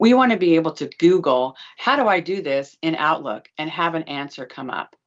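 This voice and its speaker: A woman's very deep, low voice at a moderate pace. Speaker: legal practice management consultant. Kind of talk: presentation.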